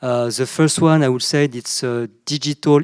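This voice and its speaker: Someone talks with a French accent at a moderate pace. The recording is very clean, with a silent background. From southern France. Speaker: panelist, CEO of an Asia business network. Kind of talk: panel discussion. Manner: halting, many fillers and repetitions.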